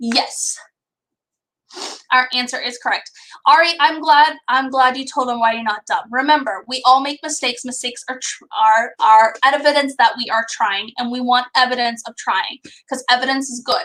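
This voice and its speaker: A woman with a high pitch speaks at a moderate pace in a raised, projected voice, with a bright, sharp tone. Her delivery sounds animated, with ordinary pitch variation and big swings in loudness. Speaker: elementary school teacher. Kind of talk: online class lesson.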